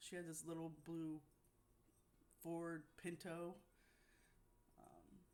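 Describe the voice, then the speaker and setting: A woman's fairly low-pitched voice with an American accent. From Pennsylvania. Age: 50s. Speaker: spiritual life coach. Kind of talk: personal testimony. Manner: halting.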